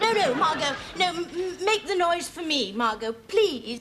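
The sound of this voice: A woman puts on a character voice with an extremely high pitch, lively intonation, a fairly bright tone and a fairly slow pace.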